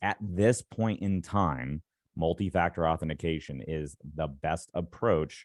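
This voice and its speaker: A man's very deep, low voice carries ordinary pitch variation in a dry, close sound with no echo. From Alabama. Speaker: cybersecurity instructor. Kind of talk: webinar presentation. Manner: casual, fast.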